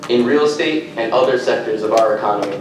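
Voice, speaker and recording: A man talks at a fairly quick pace. Noticeable background noise and audible room echo fill the recording. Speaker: industry association representative at public comment. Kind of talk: public testimony read from prepared statement. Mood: formal, measured. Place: hall. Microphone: podium.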